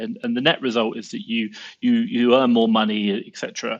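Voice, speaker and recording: Over a quiet background, a man with a southern English accent speaks fairly quickly at a medium pitch with ordinary pitch variation. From southern England, Southampton. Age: 30s. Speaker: Amazon seller and entrepreneur. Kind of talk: podcast interview. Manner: animated.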